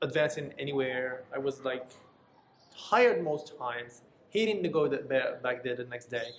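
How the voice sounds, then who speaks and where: Here a man speaks with a non-native accent at a moderate pace. His pitch is fairly high, with ordinary pitch variation. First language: not English. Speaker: vlogger, former call center agent. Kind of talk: casual monologue.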